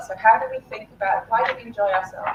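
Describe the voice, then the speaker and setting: A woman speaks with a British accent. Noticeable background noise can be heard. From UK. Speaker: game design academic, keynote speaker. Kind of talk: keynote talk.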